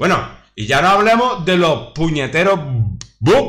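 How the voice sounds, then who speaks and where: In a room with audible echo, a man with a bright, sharp tone and vocal fry sounds animated, his pitch swinging very widely. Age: 40s. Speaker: gaming youtuber. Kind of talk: gameplay commentary with rant. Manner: halting. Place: home room. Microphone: webcam.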